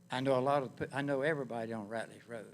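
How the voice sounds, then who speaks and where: With a North Carolina accent, a man speaks very fast at a medium pitch with fairly even intonation. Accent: US Southern (North Carolina). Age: 80s+. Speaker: public commenter, retired Navy veteran. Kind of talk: public comment at planning board hearing.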